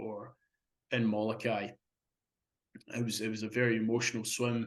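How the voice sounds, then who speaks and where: Speaking at a moderate pace, a man with a Scottish accent uses a medium pitch. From Scotland. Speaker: marathon swimmer. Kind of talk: interview. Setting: podcast interview. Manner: halting, many repetitions.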